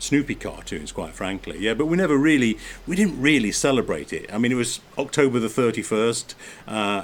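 Lively intonation carries this speaker's English accent. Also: man. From England. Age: 50s. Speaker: podcast host and former motorsport mechanic. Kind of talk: casual chat. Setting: outdoors.

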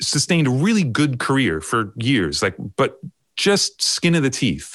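With an American accent, a man talks at a fairly slow pace using lively intonation. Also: quiet background. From US Northeast (Long Island, New York). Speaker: record producer and mix engineer. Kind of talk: casual interview chat. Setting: remote call.

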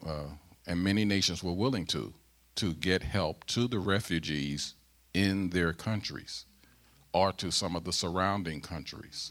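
A man with a very deep, low pitch speaks at a fairly slow pace. His pitch varies in an ordinary way, on a very clean recording with a silent background. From US Midwest (St. Louis, Missouri). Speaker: pastor. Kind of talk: sermon. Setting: church.

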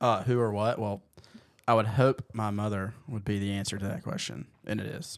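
A man with a fairly low pitch, ordinary pitch variation, a moderate pace and a plain, everyday voice. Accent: American. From US South. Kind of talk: casual chat.

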